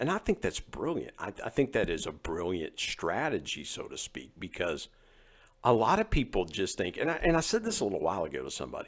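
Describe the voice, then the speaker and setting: A man with a slight West Virginia accent at a fairly quick pace, on a very clean recording with a silent background. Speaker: podcast host. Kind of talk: casual interview chat.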